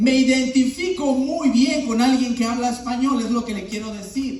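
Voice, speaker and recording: Noticeable background noise and audible room echo accompany a speaker talking at a fairly slow pace with ordinary pitch variation. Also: man. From Latin America, moved to US at 16. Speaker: pastor. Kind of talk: sermon.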